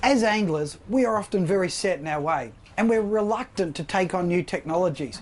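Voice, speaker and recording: A man with an Australian accent speaks at a high pitch and a moderate pace. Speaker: fishing show host. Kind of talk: outdoor presenting; scripted narration. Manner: shouting, excited.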